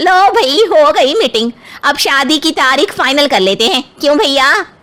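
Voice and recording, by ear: A woman performs a cartoonish character voice. Her pitch is high. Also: moderate pace.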